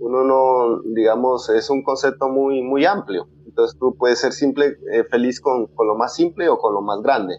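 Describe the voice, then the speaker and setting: Music plays in the background as a man talks at a moderate pace and medium pitch. His pitch variation is ordinary, and his loudness stays very even. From Colombia, Putumayo, Sibundoy Valley. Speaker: traditional healer. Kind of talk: interview. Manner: halting. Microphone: poor sound quality.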